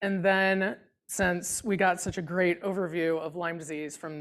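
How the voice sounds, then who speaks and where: With ordinary pitch variation, a woman's fairly low voice comes through a very clean recording with a silent background. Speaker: immunology researcher. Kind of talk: lecture. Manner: loud when excited.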